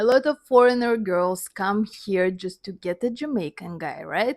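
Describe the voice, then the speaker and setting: A woman with a Russian accent talks at a moderate pace, her pitch fairly high. Her intonation is lively. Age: 30s. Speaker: dancer and vlogger. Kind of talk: personal storytelling monologue. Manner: halting, non-native phrasing.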